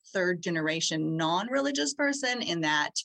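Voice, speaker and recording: A normal speaking voice from a woman, fairly low in pitch, with lively intonation at a moderate pace. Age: 40s. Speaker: author. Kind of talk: casual chat.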